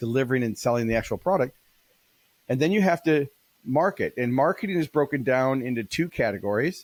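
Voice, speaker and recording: Speaking at a very fast pace, the man keeps to a medium pitch. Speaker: keynote speaker and business author. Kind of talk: interview. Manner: animated.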